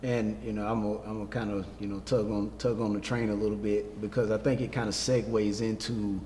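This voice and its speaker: A man with an American accent and a fairly low voice, fairly quick and monotone with flat intonation, hardly any pauses, and audible room echo. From South Carolina. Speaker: educator. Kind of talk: casual chat. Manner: halting, many fillers.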